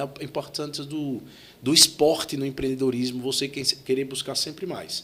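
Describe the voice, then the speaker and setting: A Sergipe accent at a fairly quick pace. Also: man. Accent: Sergipe northeastern Brazilian. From Sergipe, northeastern Brazil. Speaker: tech entrepreneur, CEO. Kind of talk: podcast interview.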